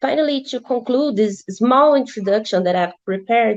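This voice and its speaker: Someone with a Brazilian accent speaks at a moderate pace with ordinary pitch variation. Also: woman. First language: Portuguese. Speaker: law student presenter. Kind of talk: academic presentation. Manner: halting, with self-corrections.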